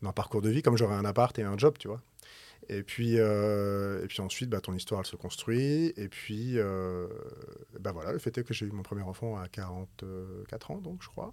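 An unremarkable speaking voice from a man, fairly low in pitch, at a moderate pace, with big swings in loudness. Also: ordinary pitch variation. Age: 40s. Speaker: musician, entrepreneur and novelist. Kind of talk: casual conversation.

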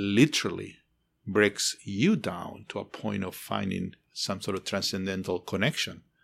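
In a very clean recording with a silent background, a man with a Spanish accent talks at a fairly low pitch. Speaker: architecture professor. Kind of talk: interview. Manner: passionate, emotional.

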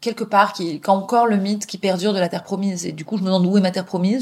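Speaking at a very fast pace, a woman uses fairly even intonation at medium pitch, her voice somewhat breathy. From Paris, France, partly raised in England. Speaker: journalist and author. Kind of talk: interview, personal storytelling.

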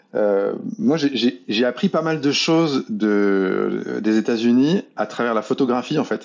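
His intonation sounds lively. This man talks at a medium pitch. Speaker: illustrator and art director. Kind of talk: casual interview. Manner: fast.

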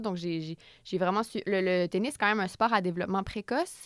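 On a very clean recording with a silent background and a dry, close sound with no echo, a woman talks at a fairly quick pace. She has a medium pitch and an ordinary speaking voice. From Quebec, Repentigny. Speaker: author and comedian. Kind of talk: interview.

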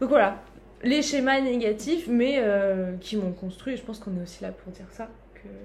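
Over noticeable background noise, a woman with a fairly high pitch talks at a moderate pace, with lively intonation and big swings in loudness. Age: 20s. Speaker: community manager. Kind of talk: casual chat. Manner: animated.

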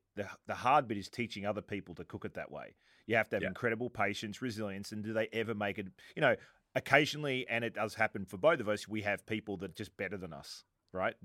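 A man with an Australian accent, fairly low in pitch with ordinary pitch variation, very fast, bright and sharp in tone, with big swings in loudness, in a dry, close, very clean recording with a silent background. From Italian heritage, worked in Sydney, Australia. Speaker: podcast host. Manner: conversational, relaxed storyteller.

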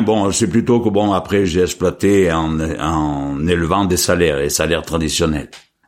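A man's very deep, low voice with very even loudness and hardly any pauses. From France, Cantal. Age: 70s. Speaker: retired farmer. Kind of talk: casual interview. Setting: at his home. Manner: halting.

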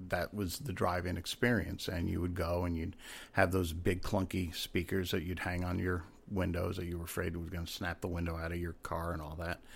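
With an American accent, a man talks at a moderate pace in a very deep, low, somewhat breathy voice with monotone, flat intonation, on a very clean recording with a silent background. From Rhode Island, US. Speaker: actor and former detective. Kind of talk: casual chat.

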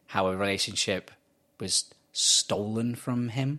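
On a very clean recording with a silent background, a man with an English accent speaks at a fairly low pitch in a bright, sharp tone. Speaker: podcast co-host. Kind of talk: casual chat.

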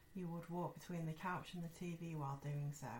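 With an ordinary speaking voice, a woman talks at a moderate pace in a fairly low pitch with fairly even intonation. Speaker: podcast host. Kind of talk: ghost story telling, reading listener-sent stories aloud. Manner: conversational, friendly, casual.

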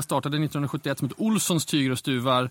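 Fairly quick pace and ordinary pitch variation from a man. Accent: Umeå. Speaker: fashion magazine editor. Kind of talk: casual interview chat.

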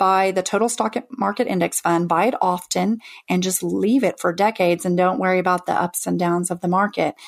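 A woman speaks in a normal speaking voice. Her pitch is medium and her pace moderate. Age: 40s. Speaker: FIRE retreat founder, former teacher. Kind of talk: interview.

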